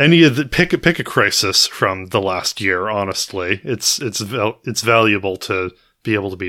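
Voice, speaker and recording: A man's fairly low-pitched voice with an American accent, bright, sharp tone, vocal fry, very wide pitch swings, and big swings in loudness at a moderate pace, in a very clean recording with a silent background. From United States. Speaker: podcast co-host. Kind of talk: casual chat.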